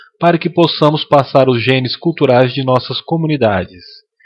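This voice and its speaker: Here is a man with a normal speaking voice. He talks at a moderate pace. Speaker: voice actor. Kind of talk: lecture dub.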